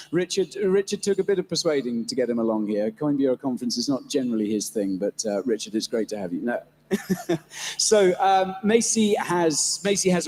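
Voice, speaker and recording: The man speaks at a fairly quick pace, his pitch swinging very widely. The sound is dry and close with no echo, and background noise is noticeable. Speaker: panel moderator. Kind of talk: live panel discussion. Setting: stage with audience.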